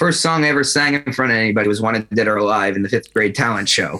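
A man with an American accent, very fast pace and a bright, sharp tone. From New Jersey, Asbury Park. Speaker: rock musician. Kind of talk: interview. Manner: casual, hesitant with fillers.

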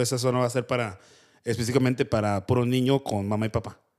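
A man with a Mexican accent talks at a very fast pace. His pitch is medium and his intonation fairly even. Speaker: podcast host. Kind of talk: casual chat. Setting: studio.

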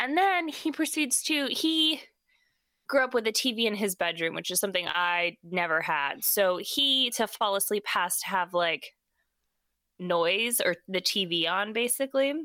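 The recording is very clean, with a silent background. A woman at a medium pitch speaks at a moderate pace with very wide pitch swings. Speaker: podcast host. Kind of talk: casual chat. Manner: joking, chatty.

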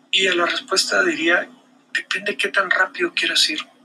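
A man keeps a moderate pace while background noise is clearly noticeable. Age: 40s. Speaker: marketing podcaster. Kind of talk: solo video monologue. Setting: recorded on camera. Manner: hesitant repetitions.

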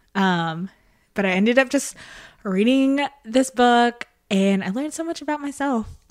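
A woman's high-pitched voice with a Southern US accent, lively intonation and a moderate pace. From West Tennessee. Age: 20s. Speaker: event coordinator. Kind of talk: casual chat.

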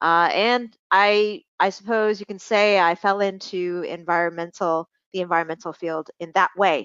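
The speaker is a woman at medium pitch with ordinary pitch variation. She has a normal speaking voice. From Hong Kong and Canada. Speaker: environmental professional. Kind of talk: interview.

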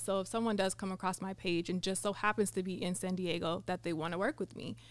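A woman with an American accent speaks in a normal speaking voice at a medium pitch, and the recording is very clean with a silent background. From California. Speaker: model and spoken word poet. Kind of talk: casual chat. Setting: studio.

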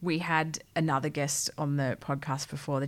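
This woman has a very deep, low pitch and an Australian accent. Her intonation stays fairly even. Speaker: podcast co-host. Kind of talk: casual chat.

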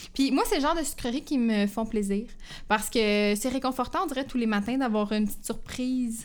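At a fairly quick pace, a woman talks in a high voice with ordinary pitch variation. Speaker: podcast co-host. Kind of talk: casual chat.

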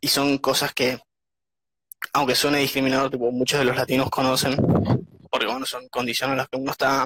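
Recorded in a dry, close sound with no echo, a man speaks at a fairly quick pace and medium pitch, in monotone, flat intonation broken by long, frequent pauses. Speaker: young emigrant interviewee. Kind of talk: casual interview.

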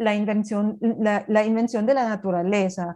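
Against a quiet background, a woman with a German accent speaks at a fairly high pitch and a moderate pace, in a dark, mellow tone. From Germany, Berlin. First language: German (speaking Spanish). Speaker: cultural coordinator at a language institute. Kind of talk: interview.

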